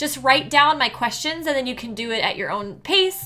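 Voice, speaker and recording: A woman projects a raised voice with a bright, sharp tone and high pitch. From mountain region, grew up skiing. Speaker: livestreamer and life coach. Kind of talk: live stream talk to chat. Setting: live stream. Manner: conversational, filler words.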